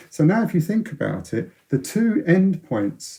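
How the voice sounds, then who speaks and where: With a London accent, a man speaks in a dark, mellow, somewhat breathy tone and lively intonation. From North London, England. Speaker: science author, former radio astronomer. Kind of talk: interview. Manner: halting, many repetitions and false starts.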